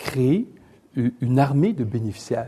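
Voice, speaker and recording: A man's somewhat breathy voice, medium in pitch, with a dark, mellow tone. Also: quiet background. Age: 60s. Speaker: economist and newspaper columnist. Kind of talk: lecture. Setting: stage with audience.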